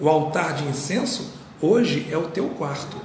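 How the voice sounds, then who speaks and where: A man's fairly high voice rings with audible room echo amid noticeable background noise. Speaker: pastor. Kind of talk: sermon. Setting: live stream. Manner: soft-spoken.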